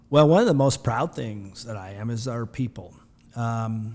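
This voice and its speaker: The recording is very clean with a silent background. A man talks at a moderate pace. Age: 60s. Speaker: community bank president. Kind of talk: podcast interview. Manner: halting, many fillers.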